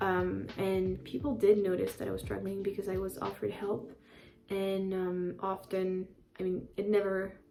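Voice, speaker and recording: A woman talks with a French accent. Her pace is moderate. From France (Paris). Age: 20s. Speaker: YouTuber. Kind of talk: casual vlog. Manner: hesitant, many fillers.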